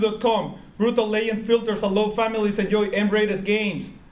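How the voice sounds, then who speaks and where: Noticeable background noise sits behind this recording. A man talks at a fairly quick pace in a high pitch, his intonation monotone and flat. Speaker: college student. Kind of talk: persuasive speech.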